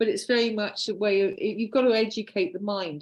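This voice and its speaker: This woman speaks in a British accent at a medium pitch. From United Kingdom. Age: 60s. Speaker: artist. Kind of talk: casual chat.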